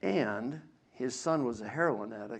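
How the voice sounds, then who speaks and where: Room echo is audible as a man speaks at a medium pitch. His intonation is fairly even. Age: 60s. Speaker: biblical scholar and lecturer. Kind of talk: lecture. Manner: halting.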